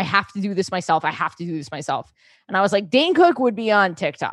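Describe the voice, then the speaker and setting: Against a quiet background, a woman with a plain, everyday voice speaks at medium pitch with lively intonation. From New York City. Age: 30s. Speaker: comedian. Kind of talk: casual chat.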